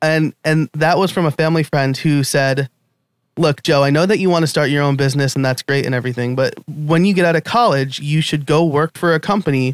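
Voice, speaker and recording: Moderate pace from a man at a fairly high pitch, ordinary pitch variation, and a dry, close sound with no echo. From New York. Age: 30s. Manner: casual, with many filler words.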